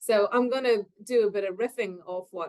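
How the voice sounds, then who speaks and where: This is a woman speaking. She has an Irish accent. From Ireland, Cork. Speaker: nursing researcher. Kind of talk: conference presentation.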